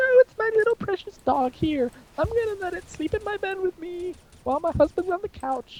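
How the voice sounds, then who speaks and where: This is a put-on character voice at an extremely high pitch. It moves at a moderate pace. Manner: creepy.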